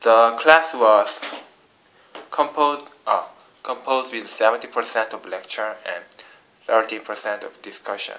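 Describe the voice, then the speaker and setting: A man with a Korean accent talks at a fairly slow pace, leaving long, frequent pauses. His loudness swings widely. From South Korea. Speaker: international student. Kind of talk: vlog class report. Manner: halting, many fillers and restarts.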